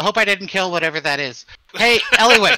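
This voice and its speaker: A man's put-on character voice, high-pitched and very fast. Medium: actual play.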